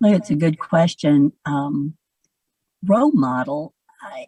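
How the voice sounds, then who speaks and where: In a Southern US accent, a woman with a very deep, low pitch speaks at a fairly slow pace with ordinary pitch variation, the sound dry and close with no echo. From US South, Georgia (Alpharetta). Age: 70s. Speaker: real estate broker and educator. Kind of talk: interview.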